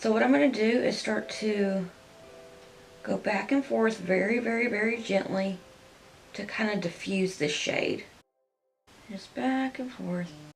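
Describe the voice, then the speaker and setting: Music plays in the background as a woman speaks at a fairly slow pace. Her speech has long, frequent pauses. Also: lively intonation. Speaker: beauty youtuber. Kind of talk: makeup tutorial. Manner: soft-spoken, talking quietly; loud by habit.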